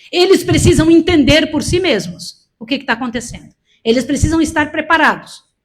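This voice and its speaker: A woman with a high-pitched voice speaks with big swings in loudness. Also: ordinary pitch variation, moderate pace. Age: 60s. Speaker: preacher. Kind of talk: sermon. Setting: church event with audience. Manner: emphatic.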